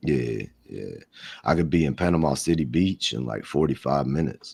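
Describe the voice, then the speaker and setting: Very deep and low, a man's voice carries noticeable vocal fry. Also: ordinary pitch variation, moderate pace. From southern Alabama, army brat. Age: 40s. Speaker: live streamer. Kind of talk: casual chat.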